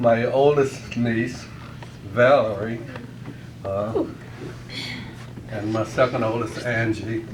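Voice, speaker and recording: Amid noticeable background noise and audible room echo, a man talks in a monotone, flat intonation at a very slow pace with long, frequent pauses. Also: medium pitch for a man. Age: 70s. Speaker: birthday celebrant. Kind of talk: speech at a family party. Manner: halting.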